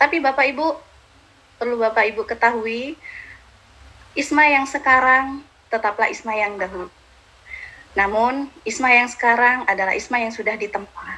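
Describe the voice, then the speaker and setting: Pausing long and often, a woman with a high voice speaks at a moderate pace with ordinary pitch variation. Background noise is noticeable. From Madura, Indonesia. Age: 30s. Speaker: motivational speaker. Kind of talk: motivational talk. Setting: live stream.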